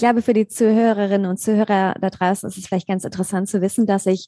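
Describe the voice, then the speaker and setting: Heard over a quiet background with a dry, close sound and no echo, a woman speaks at a medium pitch in a dark, mellow tone with fairly even intonation. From Germany, near Mainz. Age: 30s. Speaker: yoga teacher. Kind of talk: interview.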